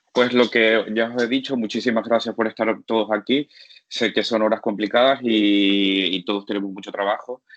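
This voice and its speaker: A man speaks at medium pitch. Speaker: physician lecturer. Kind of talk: lecture. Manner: fast; halting.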